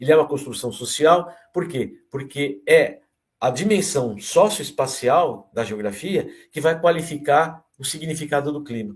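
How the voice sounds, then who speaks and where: A man's fairly high, somewhat breathy voice. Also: ordinary pitch variation, fairly slow pace. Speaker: geography professor. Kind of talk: lecture. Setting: online talk.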